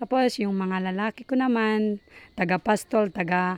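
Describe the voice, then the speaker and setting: A woman speaks at a fairly slow pace in a Batanes accent, with a fairly high pitch and ordinary pitch variation. The very clean recording has a silent background and a dry, close sound with no echo. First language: Ivatan (speaking Tagalog). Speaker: parent. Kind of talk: interview. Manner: halting.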